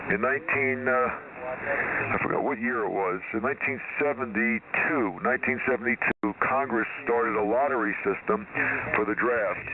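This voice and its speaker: With noticeable background noise, a man speaks at a moderate pace and medium pitch, keeping ordinary pitch variation and very even loudness. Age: 70s. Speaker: ham radio operator. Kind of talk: casual chat.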